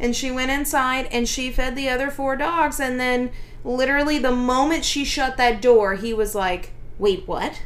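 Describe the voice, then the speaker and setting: A female speaker talks at a high pitch while noticeable background noise continues. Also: ordinary pitch variation, moderate pace. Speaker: dog trainer and podcast host. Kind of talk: casual podcast chat.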